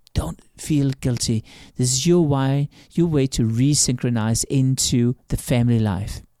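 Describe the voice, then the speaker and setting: A man's dark, mellow voice at a fairly slow pace with ordinary pitch variation, dry and close with no echo, on a very clean recording over a silent background. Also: medium pitch for a man. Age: 50s. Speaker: branding expert and author. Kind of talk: interview.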